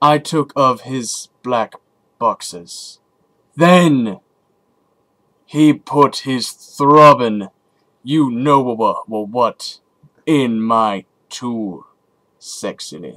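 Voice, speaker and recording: Using a put-on character voice, a man speaks at a medium pitch and a very slow pace, with long, frequent pauses. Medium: read story. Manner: deadpan, dry, unhurried.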